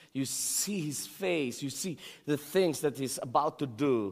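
In a Filipino accent, a man talks at a very slow pace. His pitch is fairly high and his intonation lively. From Philippines. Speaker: pastor. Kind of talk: sermon. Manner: halting, repeats words.

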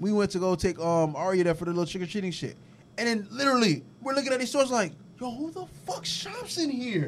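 A man talks at a very fast pace in a high voice, his pitch swinging very widely. Noticeable background noise runs under his speech. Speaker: podcast co-host. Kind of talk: casual chat.

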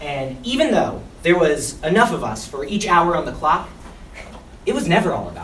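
Animated and playful, a man with an American accent talks at a moderate pace in a high voice with very wide pitch swings. Noticeable background noise runs behind him. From West Philadelphia, US. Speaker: behavior interventionist at a school. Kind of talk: spoken word poem, performed for staff. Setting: in front of school staff. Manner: animated, playful; comedic, self-interrupting, laughing.

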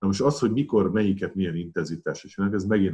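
A man is speaking here. His voice is very deep and low. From Hungary, Pécs. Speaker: retired weightlifting champion and coach. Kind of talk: casual interview.

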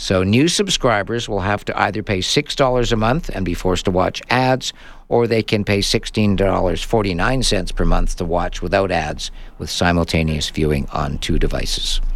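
A man talks at a fairly slow pace with lively intonation in a normal speaking voice. The recording is very clean, with a silent background. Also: fairly low pitch for a man. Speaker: radio host. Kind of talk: live radio tech show, casual chat. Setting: radio studio, live.

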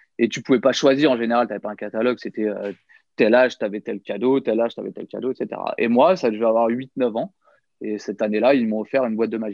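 A man speaks at a very fast pace and a medium pitch. His intonation stays fairly even while his loudness swings widely. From France, Nièvre (Burgundy). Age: 30s. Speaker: professional magician. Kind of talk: casual interview.

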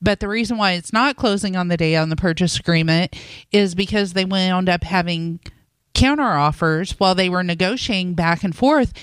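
On a very clean recording with a silent background, a woman uses a normal speaking voice, with medium pitch, ordinary pitch variation, and a moderate pace. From Indiana (Boonville). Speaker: mortgage lender, radio co-host. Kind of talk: casual radio talk show.

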